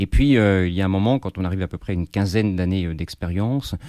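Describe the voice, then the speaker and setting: A man with a very deep, low pitch and a dark, mellow tone, at a fairly quick pace with ordinary pitch variation, in a very clean recording with a silent background. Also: dry, close sound with no echo. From Paris, France. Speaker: firefighter officer and author. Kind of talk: interview.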